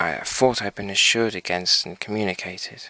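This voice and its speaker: Against a quiet background, a man talks fairly slowly at a fairly low pitch with ordinary pitch variation, the sound dry with no echo. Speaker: hobbyist reviewing equipment. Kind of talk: casual demo commentary. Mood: disappointed. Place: workshop. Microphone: phone near.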